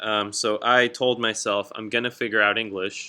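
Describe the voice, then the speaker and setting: A man is speaking. He has a Southern California accent. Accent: Southern California American English. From Southern California (Escondido), Mexican American family. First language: Spanish. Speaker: high school English teacher. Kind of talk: class introduction presentation. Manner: casual, conversational.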